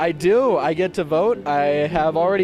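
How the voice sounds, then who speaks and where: Music plays in the background as a man speaks in a high voice. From California. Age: 19. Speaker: peace education organizer, student. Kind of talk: street interview. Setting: outdoors at a street event.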